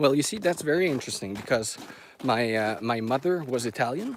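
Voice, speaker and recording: Over noticeable background noise, a man with a Quebec accent speaks with ordinary pitch variation. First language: French. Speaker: dog owner live streamer. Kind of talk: casual live stream chat. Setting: outdoors, forest hike. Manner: halting, stumbles over words.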